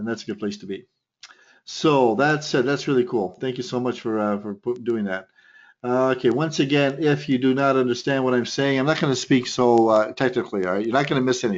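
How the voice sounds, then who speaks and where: Talking at a fairly quick pace, a man with a medium pitch uses ordinary pitch variation. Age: 60s. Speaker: trading instructor. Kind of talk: webinar presentation. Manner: fast; animated.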